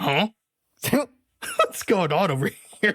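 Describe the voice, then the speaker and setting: It is a put-on character voice. The pitch sits in the middle. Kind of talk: stock game dialogue delivery. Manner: puzzled, suspicious.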